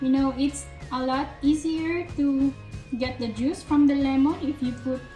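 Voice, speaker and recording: Over music in the background, a woman with a Filipino accent speaks at a fairly slow pace. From Philippines. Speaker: home cook vlogger. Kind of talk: cooking tutorial talk to camera.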